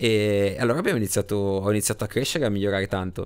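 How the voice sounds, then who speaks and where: A very fast-talking man with a fairly low pitch. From Genoa, Italy. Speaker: motorcycle racer. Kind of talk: interview storytelling.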